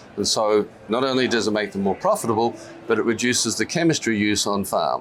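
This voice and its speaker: Speaking very fast with an Australian accent, a man uses a medium pitch and ordinary pitch variation over noticeable background noise. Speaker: company CEO and scientist. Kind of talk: business interview. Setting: stock exchange floor. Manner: hesitant, many fillers.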